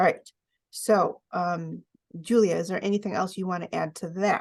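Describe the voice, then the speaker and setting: In a normal speaking voice, this woman keeps a medium pitch and fairly even intonation. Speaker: oracle card reader. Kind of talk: card reading presentation.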